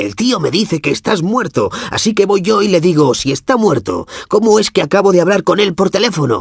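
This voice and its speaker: Delivered in a put-on character voice with hardly any pauses, the audio has a dry, close sound with no echo. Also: man, high pitch for a man, fairly quick pace. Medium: read story. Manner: loud, belligerent, crude.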